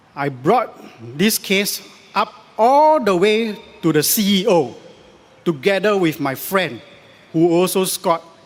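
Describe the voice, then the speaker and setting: Pausing long and often, a man speaks at a fairly slow pace in a high pitch with very wide pitch swings, over noticeable background noise. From Singapore. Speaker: election candidate. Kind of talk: political rally speech.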